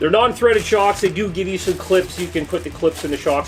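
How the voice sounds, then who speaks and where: A man's energetic, high-pitched voice over music in the background. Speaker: RC hobby YouTuber. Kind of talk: product review. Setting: workbench. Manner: casual, energetic.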